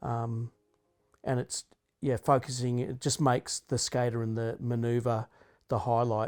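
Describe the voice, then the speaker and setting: With an Australian accent, a man of medium pitch talks at a fairly slow pace, leaving long, frequent pauses, in a dry, close sound with no echo. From Australia, Canberra. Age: 50s. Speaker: skateboarder and photographer. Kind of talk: interview talk. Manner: casual, halting.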